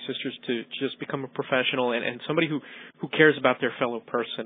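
The speaker has a New York accent and fairly even intonation. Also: man. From New York City, Queens. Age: 40s. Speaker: cosmetic dentist. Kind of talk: interview.

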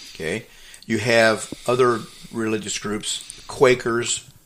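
Noticeable background noise is audible. Over it, a man talks in a fairly low voice. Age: 70s. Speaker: radio host. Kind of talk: radio talk show. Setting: radio studio, prerecorded.

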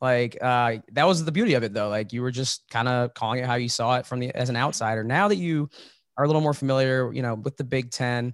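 A man with a normal speaking voice talks at a fairly quick pace, his medium pitch showing ordinary variation in a dry, close sound with no echo. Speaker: sports podcast host. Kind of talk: casual interview. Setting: video call.

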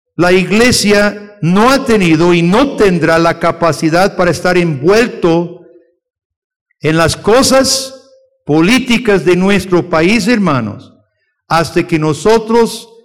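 A man's high-pitched voice at a very slow pace, with audible room echo. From outside Costa Rica. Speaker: missionary theologian teaching a lesson. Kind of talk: sermon-style lecture to a congregation.

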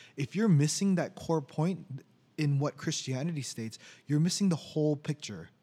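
Recorded very cleanly against a silent background, a man speaks at a moderate pace, somewhat breathy, with a fairly high pitch and ordinary pitch variation. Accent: American. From Orange County, California. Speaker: podcast co-host, IT worker. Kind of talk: casual chat.

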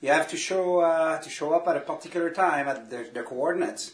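The speaker keeps a moderate pace with ordinary pitch variation. Noticeable background noise runs under the voice. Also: man. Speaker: geocacher guest. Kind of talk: casual chat.

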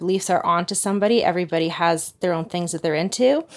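In a very clean recording with a silent background, a woman with a plain, everyday voice speaks with ordinary pitch variation. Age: 30s. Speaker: single mother describing online dating. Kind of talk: interview.

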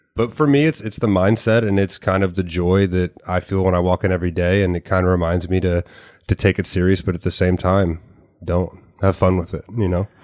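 With a very deep, low pitch and fairly even intonation, a man speaks at a fairly quick pace in a dry, close sound with no echo and a quiet background. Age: 20s. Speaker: strength coach. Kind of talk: casual chat.

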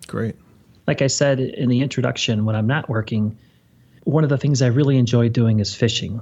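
The delivery is fairly quick and somewhat breathy, its intonation fairly even. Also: man, medium pitch for a man. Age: 50s. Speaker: financial advisor. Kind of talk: interview.

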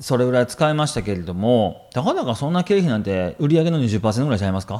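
A dark, mellow tone moves at a fairly quick pace with hardly any pauses and very wide pitch swings. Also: man. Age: 30s. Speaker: business coach. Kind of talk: casual chat.

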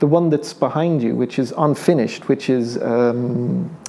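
Noticeable background noise surrounds a man speaking at a moderate pace. His pitch is medium, with fairly even intonation. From Ireland; Dublin. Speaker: painter. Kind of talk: casual interview. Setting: studio.

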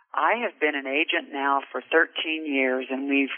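Speaking fairly slowly with an American accent, a woman has a very deep, low pitch, with noticeable background noise behind her. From Kansas, US Midwest. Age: 60s. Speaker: insurance agent, business owner. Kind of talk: interview. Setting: phone call.

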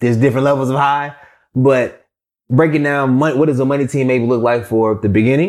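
Energetic in tone, a man speaks at a medium pitch. The recording is very clean with a silent background. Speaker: podcast host. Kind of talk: podcast interview.

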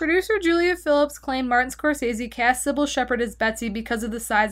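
Speaking fairly quickly in a high pitch, a woman swings her pitch very widely in a very clean recording with a silent background. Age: 20s. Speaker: podcast co-host. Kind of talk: reading aloud; casual chat.

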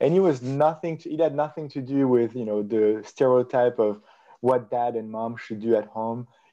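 A man with a French accent speaks at a moderate pace, his medium-pitched voice dark and mellow in tone, with fairly even intonation.

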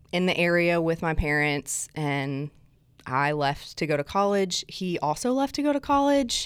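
On a very clean recording with a silent background, a woman speaks at a fairly slow pace and fairly low pitch. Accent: slight Southern US. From South Alabama. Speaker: guest experience director at a church. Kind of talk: casual interview chat.

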